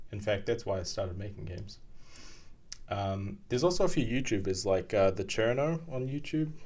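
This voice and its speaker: A man speaks with a New Zealand accent, his voice fairly low and somewhat breathy. His pace is fairly quick. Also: lively intonation. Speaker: game programmer and streamer. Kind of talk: live coding stream, casual chat with chat readers. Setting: live stream, home desk at night. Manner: halting, many fillers.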